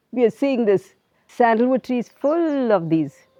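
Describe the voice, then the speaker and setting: In a dry, close sound with no echo, a woman with a dark, mellow tone speaks at a fairly slow pace with lively intonation. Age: 60s. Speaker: farmer. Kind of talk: casual interview with farm walk-through. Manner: hesitant, many fillers.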